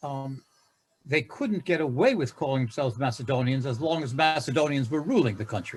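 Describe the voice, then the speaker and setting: With an American accent, a man speaks at a fairly quick pace in a somewhat breathy, fairly high voice with ordinary pitch variation. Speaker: conference audience member. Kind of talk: academic Q&A question. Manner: halting.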